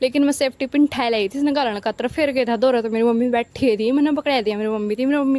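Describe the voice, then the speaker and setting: Intonation stays fairly even while the speaking pace remains moderate. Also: woman. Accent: Haryana. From Haryana. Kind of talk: casual vlog narration.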